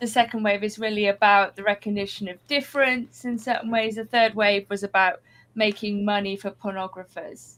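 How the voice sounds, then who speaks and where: A woman with a southern English accent and a fairly high pitch. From southwest England. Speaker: writer and adult education teacher. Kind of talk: podcast interview. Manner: slightly manic.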